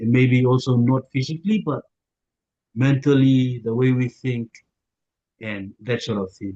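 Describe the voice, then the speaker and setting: Fairly slow and marked by long, frequent pauses, the voice has a dark, mellow tone and ordinary pitch variation, with a dry, close sound and no echo. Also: man, medium pitch for a man. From Papua New Guinea. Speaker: YouTuber. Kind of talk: interview. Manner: hesitant.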